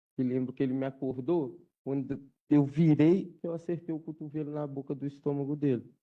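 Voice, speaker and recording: A fairly high-pitched male voice at a moderate pace, with fairly even intonation. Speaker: defendant in jury trial. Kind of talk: courtroom testimony.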